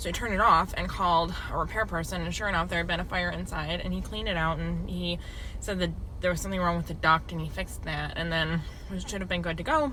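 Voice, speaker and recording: A woman with an American accent at a very fast pace, amid noticeable background noise and audible room echo. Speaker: home health nurse vlogger. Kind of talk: casual vlog. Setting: in a car in a parking lot. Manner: loud; casual, filler-heavy.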